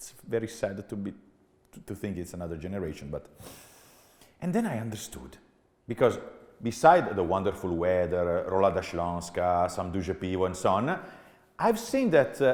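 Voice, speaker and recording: A man with an Italian accent speaks at a fairly low pitch and a moderate pace, with ordinary pitch variation. His delivery has long, frequent pauses and big swings in loudness. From Italy. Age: 40s. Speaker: business executive. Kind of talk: keynote talk. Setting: stage with audience. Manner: animated.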